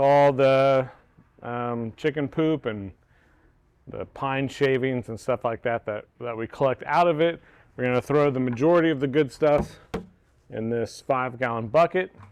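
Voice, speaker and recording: A man with an American accent talks at a fairly slow pace and a medium pitch, with ordinary pitch variation. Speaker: homesteader. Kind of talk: casual tutorial.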